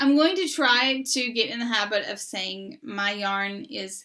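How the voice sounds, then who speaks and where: A bright, sharp tone in a Southern US accent, with lively intonation at a very slow pace. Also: woman. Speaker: knitting podcast co-host. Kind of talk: casual chat.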